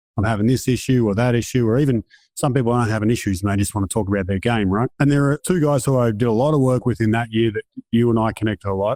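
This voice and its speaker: Speaking very fast in a non-native accent, the voice has a dark, mellow tone, ordinary pitch variation and very even loudness, recorded dry and close with no echo against a quiet background. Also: man, medium pitch for a man. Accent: noticeable foreign. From outside North America. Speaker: performance psychologist. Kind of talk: casual interview.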